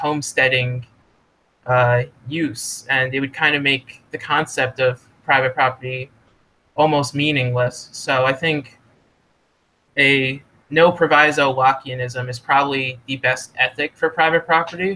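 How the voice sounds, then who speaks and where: Bright and sharp in tone, a man talks at a fairly slow pace with fairly even intonation. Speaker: economics student or scholar being interviewed. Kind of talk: casual podcast interview discussion. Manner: halting, self-corrects with fillers.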